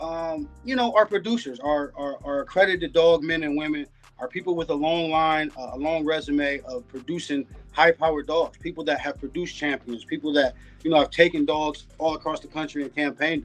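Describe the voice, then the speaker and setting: Big swings in loudness at a fairly quick pace, with ordinary pitch variation and music in the background. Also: man, fairly high pitch for a man. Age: 40s. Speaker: dog breeder. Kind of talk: podcast interview. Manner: halting with many fillers.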